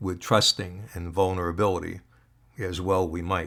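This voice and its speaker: A man's very deep, low voice with an American accent, a bright, sharp tone and a fairly slow pace. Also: very clean recording, silent background. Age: 80s+. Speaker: podcast host. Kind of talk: solo podcast talk. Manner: reflective, conversational.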